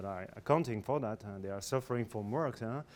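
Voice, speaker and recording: The recording is very clean, and the background is silent. A man talks in a French accent. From France. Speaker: corporate executive. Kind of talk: business presentation. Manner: halting, many fillers.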